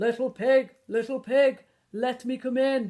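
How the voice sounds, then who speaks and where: A woman speaks in a high pitch, using a put-on character voice. Her pace is fairly slow. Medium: read story. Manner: menacing.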